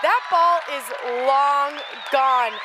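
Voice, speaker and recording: Over crowd noise in the background, a woman uses a raised, projected voice at a high pitch with ordinary pitch variation. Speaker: sports broadcaster. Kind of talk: sports live shot and anchoring.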